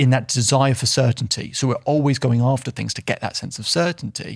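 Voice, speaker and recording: Speaking at a fairly quick pace, a man with a medium pitch and a somewhat breathy voice keeps his intonation fairly even on a very clean recording with a silent background. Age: 30s. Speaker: self-belief coach. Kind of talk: casual interview. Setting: studio.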